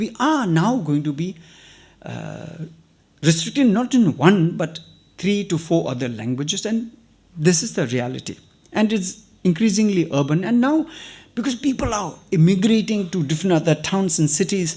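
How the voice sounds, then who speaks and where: With a high pitch, lively intonation and a dark, mellow tone, a man speaks on a very clean recording with a silent background. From Tibetan refugee community in India. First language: Tibetan. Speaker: writer and activist. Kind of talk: invited talk to students.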